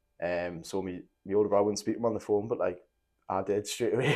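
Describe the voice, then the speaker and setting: A man speaks with a strong Geordie accent. He talks at a very fast pace. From northern England, Newcastle (moved from Nottingham at five). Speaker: former MMA fighter turned musician. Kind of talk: casual podcast interview, telling life story. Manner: casual, many fillers and false starts.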